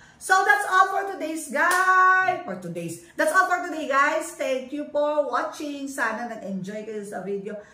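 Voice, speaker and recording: A woman in a raised, projected voice speaks at a fairly slow pace with a high pitch, very wide pitch swings and big swings in loudness, amid audible room echo and noticeable background noise. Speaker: family vlogger. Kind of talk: casual show-and-tell vlog. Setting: at home.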